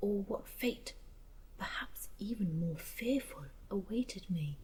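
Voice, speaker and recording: A soft-spoken woman's calm tone at a very slow pace. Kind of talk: soft spoken story reading. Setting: campfire ambience. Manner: soft-spoken, calm.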